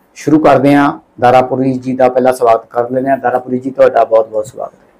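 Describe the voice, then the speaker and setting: A man's monotone, flat delivery at medium pitch and moderate pace, with big swings in loudness. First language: Punjabi (speaking Hindi). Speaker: online news host. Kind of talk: interview.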